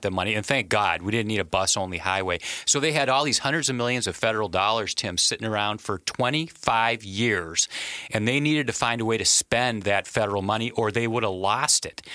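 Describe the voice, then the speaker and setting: A man with an American accent talks at a fairly quick pace, medium in pitch with ordinary variation. Noticeable background noise runs underneath. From Wisconsin. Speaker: policy author. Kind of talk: interview.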